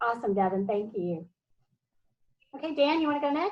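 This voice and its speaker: A woman's pitch varies in an ordinary way while the background stays quiet. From US South. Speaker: professor. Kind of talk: online class meeting. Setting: video call. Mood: warm, encouraging. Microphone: video call.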